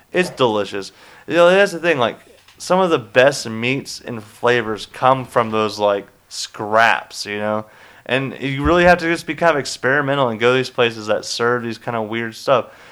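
Here a man uses a normal speaking voice at medium pitch, with lively intonation. He talks at a moderate pace, and the recording is very clean with a silent background. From US South, Charlotte, North Carolina. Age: 20s. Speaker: podcast host. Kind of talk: casual chat; trivia quiz hosting.

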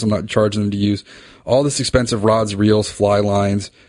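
Over a quiet background, a man with an American accent talks at a fairly quick pace and a fairly low pitch. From US, northern Virginia (Reston). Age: 30s. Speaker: fly fishing guide and podcast host. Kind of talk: casual solo podcast monologue. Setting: home office. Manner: conversational, tangential.

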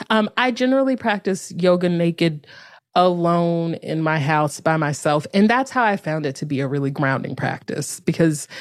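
A woman with a normal speaking voice, fairly low-pitched, lively in intonation and at a moderate pace, in a very clean recording with a silent background. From North Carolina. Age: 30s. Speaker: yoga teacher and author. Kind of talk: casual interview.

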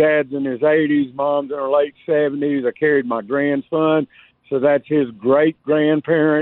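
This man has a Southern US accent and a fairly high voice. He talks at a fairly slow pace with fairly even intonation. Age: 50s. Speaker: caller, electrician. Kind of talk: radio call-in.

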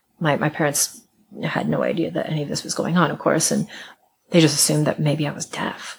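Someone with an American accent talks at a fairly quick pace, with vocal fry and fairly even intonation. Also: woman, very deep, low pitch for a woman. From US Midwest, Iowa. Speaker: musician and folklorist. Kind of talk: interview conversation. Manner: repetitive, restarts words.

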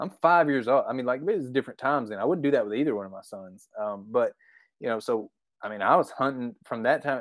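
A man with an Arkansas accent talks at a very fast pace, his medium-pitched voice carrying lively intonation and big swings in loudness. The recording is very clean, with a silent background. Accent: Southern US (Arkansas). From Arkansas, US South. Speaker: deer hunter. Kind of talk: casual chat.

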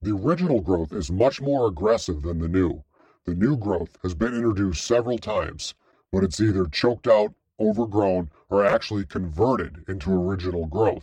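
In a put-on character voice, a man talks fairly quickly at a fairly low pitch. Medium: read story. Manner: formal, precise, informative.

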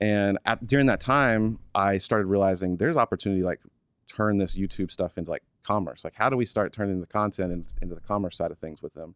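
Against a quiet background with a dry, close sound and no echo, a man with an American accent and a normal speaking voice talks at a fairly low pitch and a fairly quick pace. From Oklahoma. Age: 30s. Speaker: fishing brand executive. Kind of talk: casual interview chat.

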